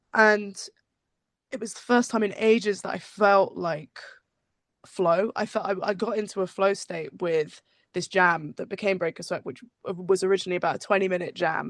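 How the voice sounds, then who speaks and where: A woman's medium-pitched voice in a West Country accent, at a moderate pace, with fairly even intonation, big swings in loudness and a quiet background. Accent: West Country English (Bristol). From England, Bristol. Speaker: musician. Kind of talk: casual interview. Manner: halting.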